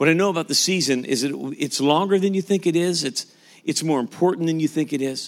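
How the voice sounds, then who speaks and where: In a very clean recording, silent background, a man with a normal speaking voice talks fairly quickly at a fairly high pitch with ordinary pitch variation. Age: 50s. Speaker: pastor. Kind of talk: sermon.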